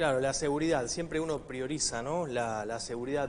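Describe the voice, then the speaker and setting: A man speaks with an Argentine accent and fairly even intonation. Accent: Argentine Spanish (Rioplatense). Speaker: TV show host. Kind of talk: studio discussion.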